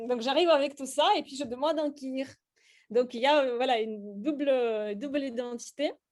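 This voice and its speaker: A Russian accent with ordinary pitch variation. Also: woman, high pitch for a woman, moderate pace. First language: Russian (speaking French). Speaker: slam poet and workshop leader. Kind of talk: workshop teaching. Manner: hesitant, many fillers.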